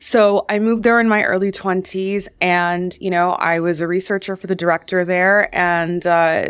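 In a very clean recording with a silent background, a woman with a plain, everyday voice speaks at a medium pitch with fairly even intonation. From US, Washington D.C. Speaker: film producer and entrepreneur. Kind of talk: interview.

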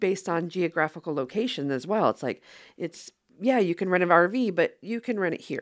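Recorded very cleanly against a silent background, dry and close with no echo, a woman speaks in an ordinary speaking voice at a medium pitch with lively intonation. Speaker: app co-founder. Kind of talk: interview. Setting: studio.

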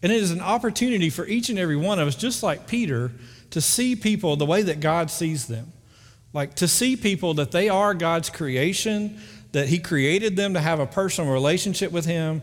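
A man with a north Alabama accent speaks at a fairly quick pace in a high voice with lively intonation, on a very clean recording with a silent background. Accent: Southern US (north Alabama). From US South, northern Alabama (Muscle Shoals). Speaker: pastor. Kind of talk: sermon. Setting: church. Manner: casual, conversational.

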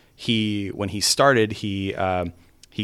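A man with an American accent speaks at a fairly low pitch with fairly even intonation. The recording is very clean, with a silent background. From California. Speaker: game director. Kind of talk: interview.

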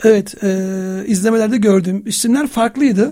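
The man's voice sits at a high pitch with a dark, mellow tone, delivered at a moderate pace. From Istanbul, Turkey. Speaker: film writer and researcher. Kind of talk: radio interview. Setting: radio studio.

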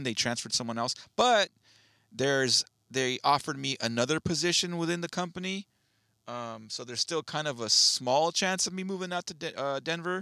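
A man speaks with a bright, sharp tone and lively intonation at a moderate pace. The recording is very clean, dry and close, with no echo and a silent background. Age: 40s. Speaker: podcast co-host. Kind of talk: casual chat. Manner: animated.

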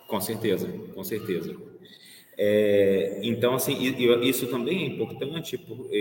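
A man talks fairly slowly while noticeable background noise plays behind him. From Brazil, Minas Gerais (Belo Horizonte). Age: 40s. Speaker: pianist and curator. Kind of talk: interview. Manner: halting, many repetitions.

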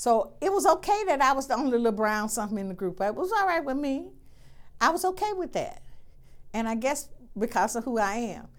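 Her voice sits high for a woman. Its pitch rises and falls very widely. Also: fairly quick pace. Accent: Alabama. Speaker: nursing school dean. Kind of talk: interview.

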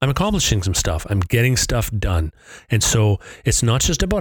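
Against a silent background on a very clean recording, a man speaks at a medium pitch in a somewhat breathy voice. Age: 50s. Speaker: podcast host. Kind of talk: solo monologue. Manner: casual, with filler words.

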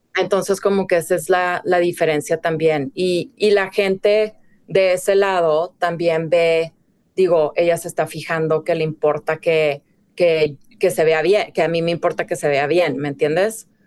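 In a normal speaking voice, a woman talks fairly slowly at a fairly low pitch with fairly even intonation. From Mexico, Ciudad Juárez (border). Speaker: fashion director and stylist. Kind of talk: casual interview.

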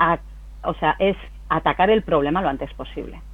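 A woman talks at a moderate pace. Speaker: company CEO. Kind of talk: interview. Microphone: connection problems.

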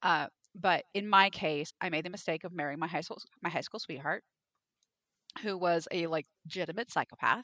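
A woman's fairly low, bright and sharp voice at a moderate pace, with fairly even intonation and long, frequent pauses, dry and close with no echo. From Alaska. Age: 40s. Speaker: romance author. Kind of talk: casual chat.

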